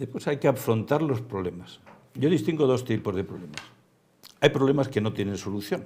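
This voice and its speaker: A man at a fairly quick pace, somewhat breathy, with a dark, mellow tone and lively intonation. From Spain. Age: 70s. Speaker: theme park executive; guest. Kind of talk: interview. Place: studio. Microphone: lapel.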